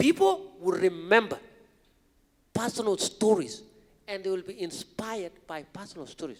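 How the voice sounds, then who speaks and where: With an animated tone, a man talks at a moderate pace. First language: not English. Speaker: marathon runner, motivational speaker. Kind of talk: podcast interview on stage. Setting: stage with audience.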